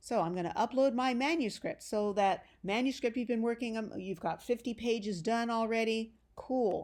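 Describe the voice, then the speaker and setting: A woman with an unremarkable speaking voice, fairly high in pitch, ordinary pitch variation, on a very clean recording with a silent background. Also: moderate pace. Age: 60s. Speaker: genealogy author and instructor. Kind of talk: tutorial. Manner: casual, encouraging.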